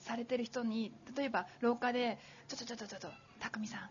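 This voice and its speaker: Noticeable background noise sits behind a voice moving at a fairly quick pace. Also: woman. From Yokohama, Japan. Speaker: business author, former executive secretary. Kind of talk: talk at live public recording. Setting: stage with audience.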